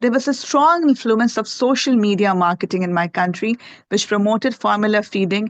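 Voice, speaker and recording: A woman with a Pakistani accent and a fairly high pitch is heard in a dry, close sound with no echo over a quiet background. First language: Urdu. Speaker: health researcher presenting at a conference. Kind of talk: conference presentation. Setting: conference presentation with slides.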